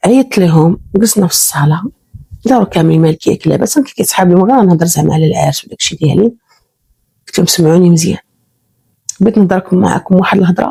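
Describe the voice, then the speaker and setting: Somewhat breathy and fairly low, this woman's voice has a dark, mellow tone and lively intonation. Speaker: storyteller. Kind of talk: first-person real-life story narration.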